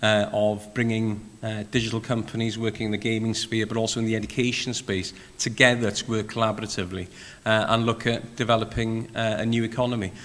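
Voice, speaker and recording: Audible room echo surrounds a man with a Welsh accent who talks at a medium pitch in a monotone, flat way. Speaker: panel moderator, games industry chair. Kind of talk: panel discussion. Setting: conference session with audience, streamed live.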